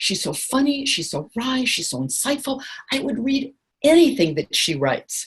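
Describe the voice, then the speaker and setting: Her voice is somewhat breathy. The woman's tone is animated. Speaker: writing teacher and author. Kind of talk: workshop lecture on a group call. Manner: fast.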